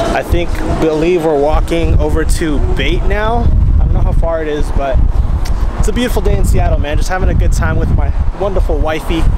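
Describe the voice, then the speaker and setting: A man talking at a fairly quick pace, with music in the background and a dry sound with no echo. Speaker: vlogger. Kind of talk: casual vlog chat. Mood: relaxed, upbeat. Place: street. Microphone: phone near.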